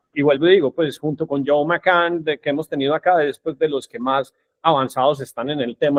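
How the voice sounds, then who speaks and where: With hardly any pauses, a man talks at a fairly quick pace in an ordinary speaking voice. His pitch is fairly high and his intonation fairly even. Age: 50s. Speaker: podcast host. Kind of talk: podcast interview.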